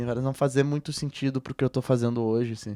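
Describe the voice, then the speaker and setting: A man's voice comes through a very clean recording with a silent background, the sound dry and close with no echo. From southern Brazil, Rio Grande do Sul (Porto Alegre). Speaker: musician. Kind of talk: interview conversation. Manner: relaxed, hesitant with many fillers.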